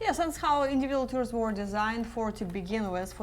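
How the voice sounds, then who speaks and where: Amid audible room echo, a woman speaks at a fairly quick pace with ordinary pitch variation. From Eastern Europe. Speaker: travel coordinator and tour leader. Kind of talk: live web cast Q&A chat.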